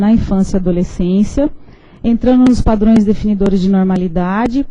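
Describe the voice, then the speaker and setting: Fairly quick speech in a dark, mellow, somewhat breathy tone, with fairly even intonation. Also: woman. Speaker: professor. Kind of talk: lecture. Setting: lecture hall with audience, streamed online.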